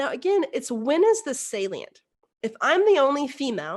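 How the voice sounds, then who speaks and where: With an American accent, a woman speaks in very wide pitch swings against a quiet background. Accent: Texan accent deliberately reduced. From Texas, rural. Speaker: engineer and keynote speaker on inclusion. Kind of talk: virtual keynote talk. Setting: virtual presentation. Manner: conversational, with fillers.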